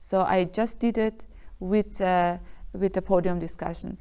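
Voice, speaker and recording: This woman has a Persian accent and a medium-pitched voice with a dark, mellow tone. Her intonation stays monotone and flat. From Iran. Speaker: dancer and choreographer. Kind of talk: interview. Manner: halting, many fillers.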